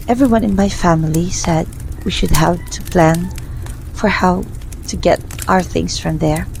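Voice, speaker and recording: A woman talks at a moderate pace, with long, frequent pauses. Noticeable background noise sits behind her. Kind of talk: personal faith testimony, ASMR. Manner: whispered.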